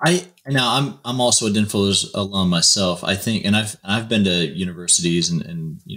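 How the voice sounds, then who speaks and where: Speaking at a fairly quick pace, a man has a normal speaking voice, fairly low in pitch with ordinary pitch variation. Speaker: podcast host. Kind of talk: interview.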